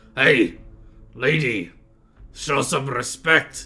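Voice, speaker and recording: A man's put-on character voice, raspy and at a medium pitch. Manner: stern.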